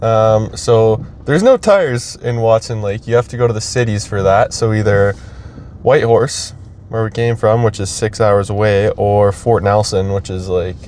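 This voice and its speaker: Background noise is noticeable here. The speaker is a man. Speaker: travel vlogger. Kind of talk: casual vlog narration. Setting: hotel room. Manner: hesitant with many fillers.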